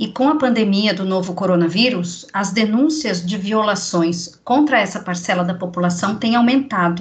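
Here is a woman with an unremarkable speaking voice, medium in pitch with ordinary pitch variation. She goes at a moderate pace with hardly any pauses. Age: 40s. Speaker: podcast host, communications adviser. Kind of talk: interview. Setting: remote recording.

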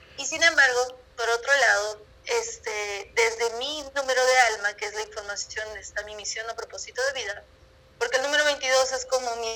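Through noticeable background noise, a woman speaks at a moderate pace in a high pitch with fairly even intonation. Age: 20s. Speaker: numerologist and holistic coach. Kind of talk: interview.

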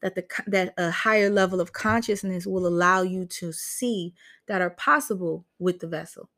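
A woman with an ordinary speaking voice talks at a medium pitch and moderate pace. Her pitch variation is ordinary, and the recording is very clean with a silent background. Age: 30s. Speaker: podcaster. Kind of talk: casual chat. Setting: livestream.

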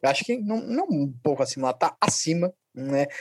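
With a plain, everyday voice, a man talks in a fairly high register, his intonation lively and his speed moderate. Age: 20s. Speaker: podcast co-host, historian. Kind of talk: casual sports podcast chat.

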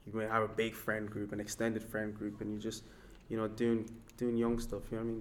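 In a room with audible echo, a man talks fairly quickly at a medium pitch in a monotone, flat intonation. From Nigeria, moved to Ireland at 14. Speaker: hip hop artist. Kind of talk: interview.

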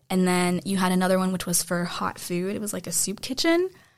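A woman's ordinary speaking voice with an American accent, medium in pitch, at a moderate pace and with fairly even intonation. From United States. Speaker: podcast host, student. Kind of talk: casual discussion. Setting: studio.

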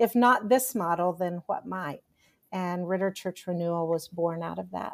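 A woman with a Texan accent speaks at a moderate pace in a fairly low pitch. The recording is very clean with a silent background. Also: ordinary pitch variation. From Texas. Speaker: pastoral counselor and leadership coach. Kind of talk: casual interview.

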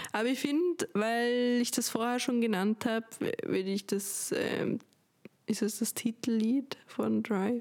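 A woman's fairly high-pitched voice, very even in loudness, with ordinary pitch variation. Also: fairly slow pace. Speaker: podcast co-host. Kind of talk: casual chat.

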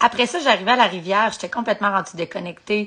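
A woman with a Quebec accent speaks in a bright, sharp tone. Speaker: podcaster in addiction recovery. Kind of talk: live motivational talk. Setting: livestream. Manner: casual with English swearing mixed in.

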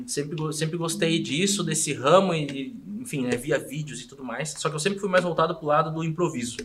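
Over noticeable background noise, a man with a fairly high pitch speaks fairly quickly, with hardly any pauses and ordinary pitch variation. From Rio Grande do Sul, Brazil (small town). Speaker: comedian and podcaster. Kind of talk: casual chat.

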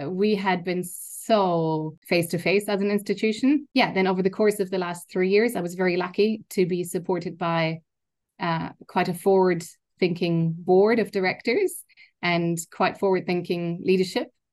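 Speaking with a German accent, a woman keeps a moderate pace and fairly even intonation. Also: medium pitch for a woman. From Germany. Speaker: university learning innovation executive. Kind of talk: interview.

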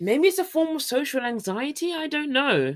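A woman with a British accent at a moderate pace. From Britain. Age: 30s. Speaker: podcast host and teacher in Korea. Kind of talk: casual solo podcast chat. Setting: home recording with microphone.

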